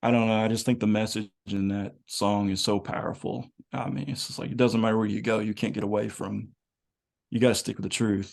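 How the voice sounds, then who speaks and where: A man with an American accent talks at a fairly quick pace in a normal speaking voice. His pitch is fairly low and his intonation fairly even. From US South, Kentucky. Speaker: music fan and online group admin. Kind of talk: casual chat.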